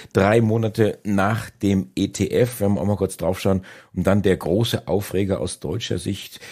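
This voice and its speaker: Slightly breathy male speech, very cleanly recorded against total silence. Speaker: podcast host. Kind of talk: podcast intro.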